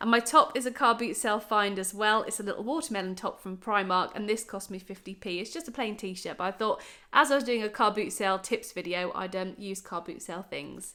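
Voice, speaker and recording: Over a very clean, silent background, a woman with an English accent speaks fairly quickly with hardly any pauses, her fairly high voice bright and sharp, with ordinary pitch variation and big swings in loudness. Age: 30s. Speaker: YouTuber sharing bargain-hunting tips. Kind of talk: casual vlog tutorial. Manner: animated.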